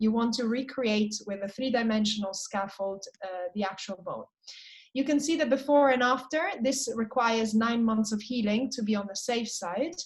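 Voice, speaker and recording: With a normal speaking voice, a woman talks at a moderate pace. Her pitch is fairly high, with ordinary variation. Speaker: periodontal surgeon presenting cases. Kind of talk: online case presentation. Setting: video call.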